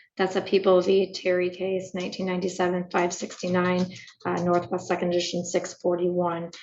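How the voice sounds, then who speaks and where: A woman's raspy, put-on character voice at medium pitch, flat and monotone, at a fairly quick pace. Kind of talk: formal legal argument. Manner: very fast.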